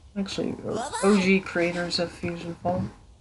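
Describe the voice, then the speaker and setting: Noticeable background noise is present. Against it, a woman talks fairly slowly. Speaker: gaming streamer. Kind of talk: gameplay livestream commentary. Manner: casual, rambling commentary.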